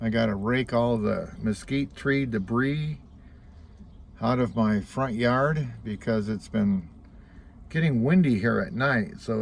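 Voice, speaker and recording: With a normal speaking voice, a man talks at a fairly slow pace, medium in pitch and with ordinary pitch variation. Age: 60s. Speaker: vlogger. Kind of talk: casual vlog monologue.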